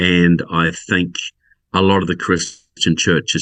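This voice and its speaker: Against a quiet background, a man with a New Zealand accent speaks at a fairly slow pace in a very deep, low pitch. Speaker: political researcher and author. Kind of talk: podcast interview.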